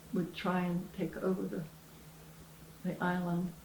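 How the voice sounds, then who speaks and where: A woman with an American accent, medium in pitch, at a fairly slow pace, over noticeable background noise. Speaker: retired teacher. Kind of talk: interview answer.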